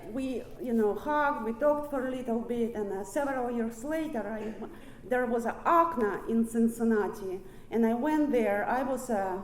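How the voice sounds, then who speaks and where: With a Russian accent, a woman speaks at a moderate pace and ordinary pitch variation, amid audible room echo and noticeable background noise. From Ukraine. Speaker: recovery speaker. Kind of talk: recovery meeting talk. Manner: halting.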